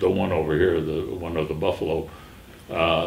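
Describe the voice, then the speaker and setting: Over noticeable background noise and audible room echo, a man with a very deep, low pitch speaks at a moderate pace. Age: 80s+. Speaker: artist. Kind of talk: interview. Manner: halting, many fillers.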